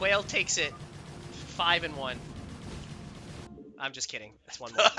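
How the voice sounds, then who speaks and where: A man's fairly high voice, lively intonation and big swings in loudness, with music in the background. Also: moderate pace. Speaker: esports caster. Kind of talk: live commentary.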